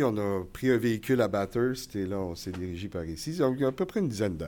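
A man with a normal speaking voice talks fairly quickly, his intonation lively. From New Brunswick, Canada. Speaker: college communications teacher. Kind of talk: live podcast interview before audience. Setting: stage with audience.

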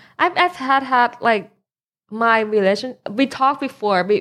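The speaker talks with a Thai accent in a very clean recording with a silent background. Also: woman. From Thailand. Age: 20s. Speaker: DJ. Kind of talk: casual chat.

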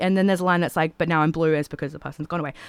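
A woman speaks in an animated tone with an Australian accent, her voice dry and close with no echo on a very clean recording against a silent background. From Australia, Toowoomba, Queensland. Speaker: singer-songwriter. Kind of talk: casual chat. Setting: studio.

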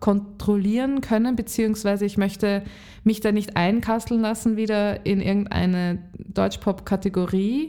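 Her voice has a dark, mellow tone and a medium pitch as the woman speaks at a moderate pace. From Lower Austria. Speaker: singer-songwriter. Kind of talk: casual interview.

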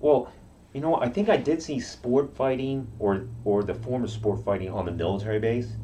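A man with a dark, mellow, somewhat breathy tone speaks at a moderate pace and medium pitch with ordinary pitch variation. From Okinawa, Japan. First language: Japanese. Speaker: karate practitioner. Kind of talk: interview.

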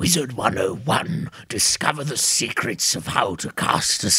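A man's raspy, put-on character voice at a medium pitch and a fairly slow pace. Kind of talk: TV ad announcer. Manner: enthusiastic, hyping.

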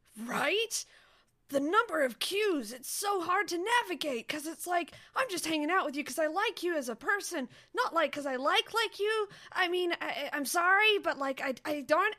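A woman puts on a character voice pitched extremely high, speaking at a moderate pace. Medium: actual play. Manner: casual, rambling, hesitant.

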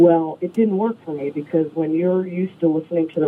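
Speech in an American accent moves at a fairly quick pace. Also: woman. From New York State, rural. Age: 40s. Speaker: singer-songwriter. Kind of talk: casual interview.

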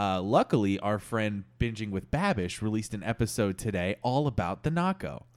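A man with an unremarkable speaking voice talks in a fairly low pitch at a moderate pace, with ordinary pitch variation and hardly any pauses, on a very clean recording with a silent background. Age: 20s. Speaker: podcast co-host. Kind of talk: casual chat.

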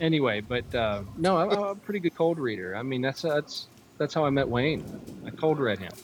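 There is noticeable background noise as a man speaks at a moderate pace, his fairly high voice making very wide pitch swings. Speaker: podcast caller and friend of the show. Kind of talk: casual chat.

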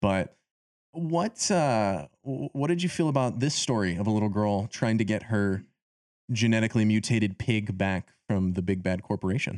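In a very clean recording with a silent background and a dry, close sound with no echo, a man with an ordinary speaking voice and fairly low pitch talks at a moderate pace with lively intonation and very even loudness. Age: 20s. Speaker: film podcast host. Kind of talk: casual chat.

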